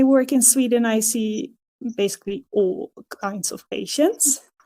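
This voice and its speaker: A woman with a Dutch accent has a dark, mellow tone. She speaks at a very slow pace with lively intonation. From Netherlands. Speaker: physiotherapist. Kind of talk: podcast interview. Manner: halting, many fillers.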